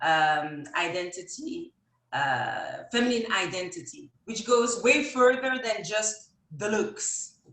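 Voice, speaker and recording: Music plays in the background as a woman speaks at a very slow pace. Her fairly high voice makes very wide pitch swings. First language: not English. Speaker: image consultant and stylist. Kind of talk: live Q&A interview. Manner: halting, many fillers.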